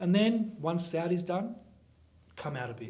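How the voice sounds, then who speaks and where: A man with an Australian accent talks at a moderate pace, with audible room echo around him. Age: 20s. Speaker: personal trainer and content creator. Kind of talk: casual interview.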